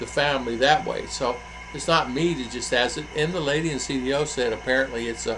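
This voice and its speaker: With an American accent, a man speaks at a medium pitch and fairly even intonation, music in the background and audible room echo around him. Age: 60s. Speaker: vlogger. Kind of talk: casual vlog talk. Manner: halting, many fillers.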